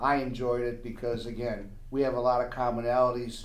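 There is audible room echo around a man with an American accent. He talks at a medium pitch and a moderate pace. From Chicago. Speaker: student in a blindness program. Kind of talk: casual group chat.

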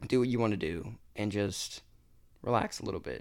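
On a very clean recording with a silent background, a man with an American accent speaks at a fairly low pitch and moderate pace with vocal fry. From Florida. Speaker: college student. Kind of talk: casual chat.

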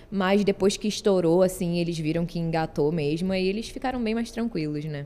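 In a normal speaking voice, a woman talks at a fairly quick pace with lively intonation. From Rio de Janeiro, Brazil. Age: 20s. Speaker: content creator. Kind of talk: casual chat.

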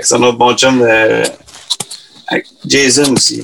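A man's voice over noticeable background noise. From Quebec. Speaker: singer. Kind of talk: casual chat.

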